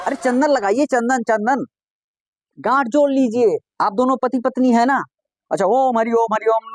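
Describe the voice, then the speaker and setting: A man's extremely high voice at very even loudness, full of long, frequent pauses, in a dry, close sound with no echo. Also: fairly even intonation. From Pratapgarh, Uttar Pradesh, India. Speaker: stand-up comedian. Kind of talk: comic storytelling with acted dialogue.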